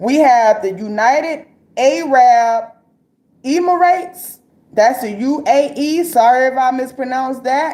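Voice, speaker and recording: A woman speaks in a high pitch. Her pace is fairly slow. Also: ordinary pitch variation. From Florida. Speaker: live-stream commentator. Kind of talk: casual live-stream commentary. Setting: live stream. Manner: casual, conversational with frequent fillers.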